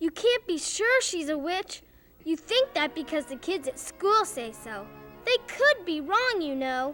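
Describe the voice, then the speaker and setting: Over music in the background, a put-on character voice speaks at a fairly slow pace with an extremely high pitch and very wide pitch swings. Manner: calm, reassuring.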